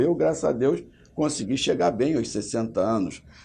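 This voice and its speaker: A man with a dark, mellow tone and vocal fry, very wide pitch swings and a moderate pace, against a quiet background. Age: 60s. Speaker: state legislator. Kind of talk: interview.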